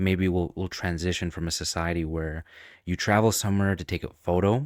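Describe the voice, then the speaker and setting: A man's very deep, low voice at a fairly quick pace, with fairly even intonation, on a very clean recording with a silent background. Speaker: YouTuber. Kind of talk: unscripted video monologue. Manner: unscripted, off the top of head; shaky, trembling voice.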